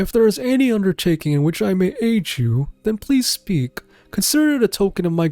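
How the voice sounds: The speaker uses a natural reading voice.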